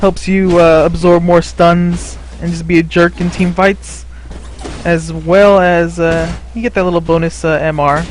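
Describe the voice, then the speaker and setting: Noticeable background noise runs under the voice. The pace is fairly slow. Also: man. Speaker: League of Legends gameplay commentator. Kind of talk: gameplay commentary. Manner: casual, conversational with filler words.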